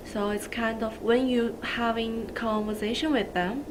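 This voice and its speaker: Speaking very slowly with a non-native accent and fairly even intonation, a woman is heard amid noticeable background noise and audible room echo. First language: not English. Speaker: social work student. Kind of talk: video testimony.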